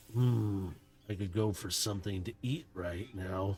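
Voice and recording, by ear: Using a put-on character voice, the speaker moves along at a fairly slow pace. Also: man, fairly low pitch for a man.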